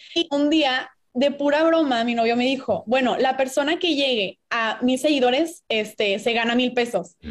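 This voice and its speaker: A woman talks at a moderate pace with a high pitch and hardly any pauses. Her loudness stays very even while music plays in the background. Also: ordinary pitch variation. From Mexico, Puebla. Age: 20s. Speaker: business student and investing content creator. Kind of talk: casual interview.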